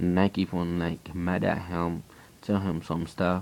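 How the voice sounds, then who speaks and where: A man with a Haitian accent speaks at a fairly slow pace in a very deep, low pitch. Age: 20s. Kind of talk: personal testimony. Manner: halting, repeating himself.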